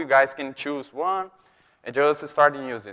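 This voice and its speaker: In a Brazilian accent, a man speaks at a fairly high pitch. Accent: Brazilian, noticeable. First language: Portuguese. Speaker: software developer, conference speaker. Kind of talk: conference talk. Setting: stage with audience. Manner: halting.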